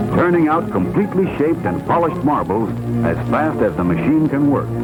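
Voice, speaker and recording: Music playing behind, a moderate speed, and pitch that swings very widely. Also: man. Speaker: narrator. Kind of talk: vintage documentary narration.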